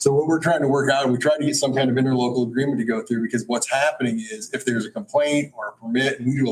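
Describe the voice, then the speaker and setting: A man talks very fast at a medium pitch with ordinary pitch variation. His voice is somewhat breathy. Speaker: county planning official. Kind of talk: public meeting.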